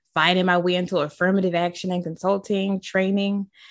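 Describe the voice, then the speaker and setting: A woman with an American accent in a normal speaking voice, fairly low in pitch, at a moderate pace against a quiet background. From Baltimore, Maryland, US. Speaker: diversity and inclusion educator. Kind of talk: interview conversation.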